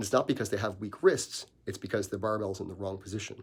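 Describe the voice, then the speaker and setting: The recording is very clean with a silent background, carrying a man's somewhat breathy voice. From Newfoundland, Canada. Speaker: strength coach. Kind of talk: live Q&A stream. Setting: Facebook live video.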